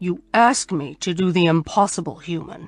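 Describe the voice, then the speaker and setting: A put-on character voice, growling at a middle pitch and moderate pace, with faint music in the background. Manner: menacing growling.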